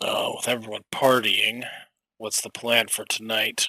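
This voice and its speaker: Recorded dry and close with no echo, a man puts on a raspy character voice at a medium pitch and moderate pace. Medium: actual play. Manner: placating.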